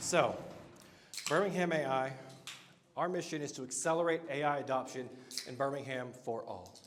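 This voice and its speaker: A man's fairly high voice with an American accent, moderate pace, ordinary pitch variation and long, frequent pauses, in audible room echo. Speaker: meetup host and marketer. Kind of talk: live event talk. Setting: stage with audience. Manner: loud; animated.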